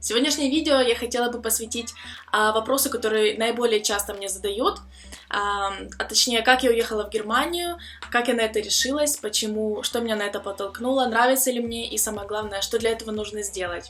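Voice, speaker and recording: A woman talks fairly quickly in a fairly high voice with ordinary pitch variation. It is an unremarkable speaking voice. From Ukraine. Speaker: vlogger, student abroad. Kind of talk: personal vlog story. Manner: casual with filler sounds.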